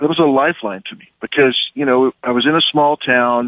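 The speaker keeps a moderate pace in an American accent. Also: man. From US Midwest, southwest Kansas. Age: young. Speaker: film director and producer. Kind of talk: radio interview.

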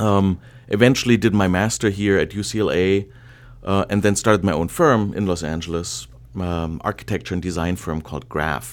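On a very clean recording with a silent background, a man with a very deep, low voice and a German accent talks at a moderate pace with ordinary pitch variation. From Germany. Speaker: interior design professor and department chair. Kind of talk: interview.

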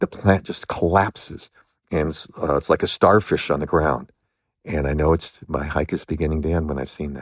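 A man's very deep, low pitch with vocal fry, at a moderate pace, in a dry, close sound with no echo. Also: fairly even intonation. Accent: American. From US West Coast, Los Angeles. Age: 60s. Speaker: long-distance hiker. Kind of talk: interview.

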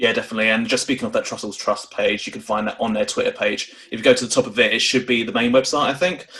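Very fast speech comes from a man over noticeable background noise. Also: hardly any pauses. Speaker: podcast host. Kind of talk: casual chat.

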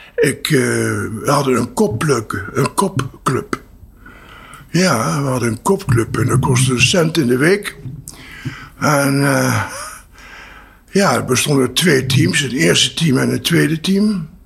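Lively intonation from a man at a medium pitch, a very slow pace with long, frequent pauses, and noticeable background noise. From Netherlands, Apeldoorn and Venlo. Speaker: entrepreneur, training institute founder. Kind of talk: interview. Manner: halting.

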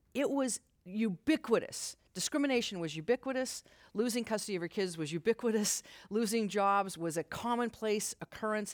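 A woman with an American accent and an unremarkable speaking voice talks at a fairly quick pace and medium pitch with ordinary pitch variation, recorded very cleanly with a silent background and a dry, close sound with no echo. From Utah. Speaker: civil rights lawyer. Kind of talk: live interview. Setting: stage with audience.

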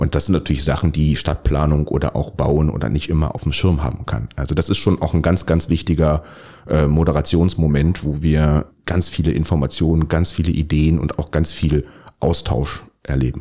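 The man's pitch is very deep and low. His intonation stays fairly even. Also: moderate pace. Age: 40s. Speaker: local politician. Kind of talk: interview. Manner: hesitant, many fillers.

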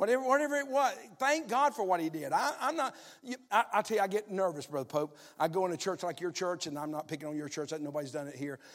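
A man with a Southern US accent, high-pitched, talking at a very fast pace with very wide pitch swings. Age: 60s. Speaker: pastor. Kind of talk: sermon. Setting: church.

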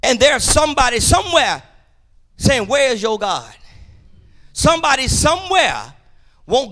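A raised, projected voice, animated and bright, sharp in tone, at a moderate pace with very wide pitch swings and long, frequent pauses. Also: man. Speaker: preacher. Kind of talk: sermon. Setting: church. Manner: loud.

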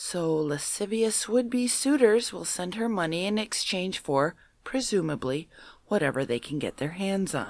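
A medium-pitched woman with an American accent, very wide pitch swings and a fairly slow pace. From Minnesota. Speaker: paranormal enthusiast panelist. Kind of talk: reading news stories aloud.

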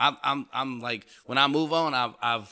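On a very clean recording with a silent background, a man with an American accent talks in a bright, sharp tone with lively intonation. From Houston, Texas (Fifth Ward). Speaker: podcast co-host. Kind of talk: casual chat.

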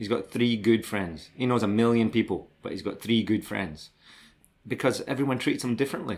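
Over a silent background in a very clean recording, a man with a Scottish accent speaks at a fairly quick pace, medium in pitch with ordinary pitch variation. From Scotland, Glasgow and Dundee. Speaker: BMX brand manager, former pro BMX rider. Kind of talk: interview, life story.

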